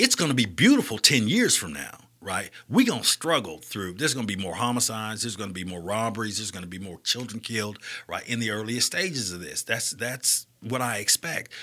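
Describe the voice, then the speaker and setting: A man's medium-pitched voice in an Alabama accent, bright and sharp in tone, at a fairly quick pace with lively intonation, big swings in loudness, and a very clean recording over a silent background. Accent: Southern US, Alabama. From US South, Birmingham, Alabama. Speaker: community nonprofit leader and speaker. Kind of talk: casual interview.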